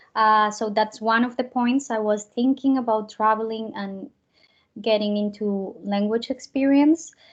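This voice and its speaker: At a fairly slow pace, a woman with a Spanish accent speaks in a fairly high pitch with fairly even intonation. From Colombia. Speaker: au pair and actress. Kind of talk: interview.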